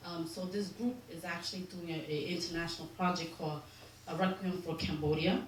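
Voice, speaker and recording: In a New York accent, a woman talks at a fairly quick pace with a fairly low pitch. Her voice carries audible room echo and noticeable background noise. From New York, the Bronx. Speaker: community organizer. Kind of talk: public talk. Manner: hesitant, many ums.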